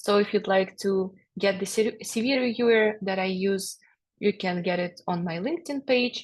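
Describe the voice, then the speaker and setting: A woman speaks at a moderate pace with a non-native accent. Her pitch is medium, with ordinary variation. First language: not English. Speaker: HR generalist, webinar co-presenter. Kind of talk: webinar Q&A. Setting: video call. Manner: halting, many fillers.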